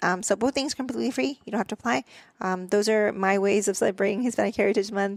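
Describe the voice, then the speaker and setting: A woman speaks at a very fast pace and medium pitch with very even loudness. The sound is dry and close, with no echo. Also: ordinary pitch variation. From Mexico. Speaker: dental hygienist. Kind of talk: podcast interview. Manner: casual with frequent fillers.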